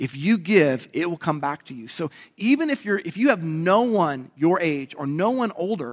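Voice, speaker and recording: Lively in intonation, a man with an unremarkable speaking voice talks at a fairly high pitch. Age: 40s. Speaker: pastor. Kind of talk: sermon.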